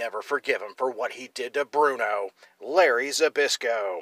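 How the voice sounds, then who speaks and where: The recording is very clean with a silent background as a man talks at a fairly high pitch with ordinary pitch variation. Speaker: wrestling history video host. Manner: animated; playful and tongue-in-cheek.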